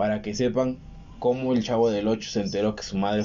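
In a Mexican accent, a man speaks at a fairly low pitch. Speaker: podcast co-host. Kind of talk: casual chat.

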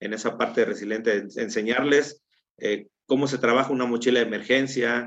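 Fairly quick delivery in a monotone, flat intonation. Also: man. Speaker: Red Cross relief coordinator and firefighter. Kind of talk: interview. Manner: halting, with repeated filler words.

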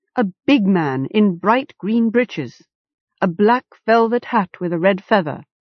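A natural reading voice with ordinary pitch variation, recorded against a quiet background.

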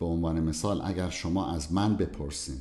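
In a room with audible echo, a man with a very deep, low pitch and a dark, mellow tone speaks at a fairly slow pace with ordinary pitch variation. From southern Iran. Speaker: cardiologist. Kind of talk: interview.

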